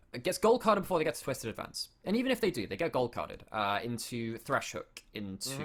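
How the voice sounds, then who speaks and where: A man with a British accent speaks at a very fast pace with hardly any pauses. His fairly high voice makes very wide pitch swings. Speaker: esports caster. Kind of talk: live commentary.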